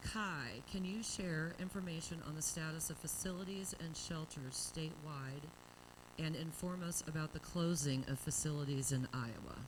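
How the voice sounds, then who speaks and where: Keeping a moderate pace, a woman talks in a very deep, low pitch and shows ordinary pitch variation. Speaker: panel moderator. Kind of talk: panel moderation. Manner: loud.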